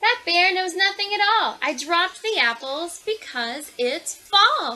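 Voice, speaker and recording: A put-on character voice. The pace is fairly slow. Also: woman, extremely high pitch for a woman. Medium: read story.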